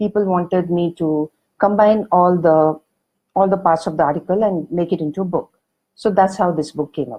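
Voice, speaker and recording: A woman with a South Indian accent speaks at a fairly low pitch. Her pace is moderate and her pitch variation ordinary. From India, Karnataka. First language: Kannada. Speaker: author and magazine editor. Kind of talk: online talk. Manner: hesitant, many fillers.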